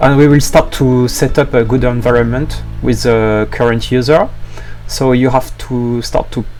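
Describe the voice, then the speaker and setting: There is music in the background and audible room echo. A man talks at a moderate pace. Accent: strong French. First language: French. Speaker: software developer. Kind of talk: tutorial. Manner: hesitant, many fillers.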